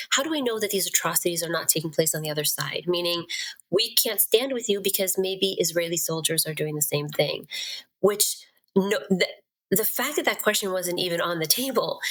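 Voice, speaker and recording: The speaker has a Western Pennsylvania accent. The delivery moves at a fairly quick pace with lively intonation. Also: woman, medium pitch for a woman. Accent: American, Western Pennsylvania. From Pittsburgh, Pennsylvania. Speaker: certified nurse-midwife. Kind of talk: podcast interview answer.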